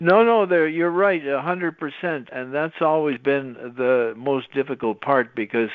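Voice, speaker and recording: A man with a normal speaking voice, fairly high pitch, lively intonation and a moderate pace. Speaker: podcast host. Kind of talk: podcast conversation.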